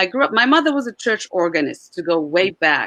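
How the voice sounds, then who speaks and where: A woman speaks with a Czech accent. Her tone is bright and sharp, and her pitch sits in the medium range. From Czech Republic. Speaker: Czech diction coach. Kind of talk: interview. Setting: live stream.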